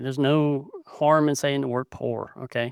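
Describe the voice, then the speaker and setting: With fairly even intonation at a moderate pace, a man is recorded very cleanly against a silent background, with a dry, close sound and no echo. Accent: Southern US. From US South, South Carolina. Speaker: podcaster, blind photographer. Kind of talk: casual podcast monologue. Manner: hesitant, many fillers.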